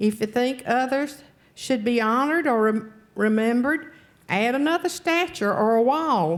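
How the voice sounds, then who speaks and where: On a very clean recording with a silent background, a woman with a Southern US accent speaks at a fairly slow pace with a high pitch, lively intonation and very even loudness. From North Carolina. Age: 70s. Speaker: public commenter at county board meeting. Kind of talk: public comment speech.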